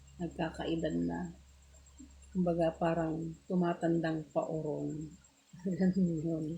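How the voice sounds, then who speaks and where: In an Ilocano accent, a soft-spoken woman talks at a very slow pace with long, frequent pauses, her voice fairly low-pitched and somewhat breathy. Her intonation stays monotone and flat. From Pangasinan, Philippines (Ilocana). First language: Ilocano (speaking Tagalog). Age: 40s. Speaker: livestreamer. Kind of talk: casual live stream chat.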